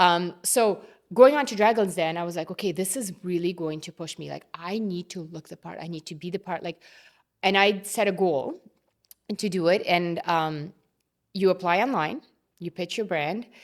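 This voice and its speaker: With a non-native accent, the speaker moves at a moderate pace with long, frequent pauses, ordinary pitch variation and big swings in loudness. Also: woman, fairly low pitch for a woman. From immigrant to Canada, grew up partly abroad. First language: not English. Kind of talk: interview conversation.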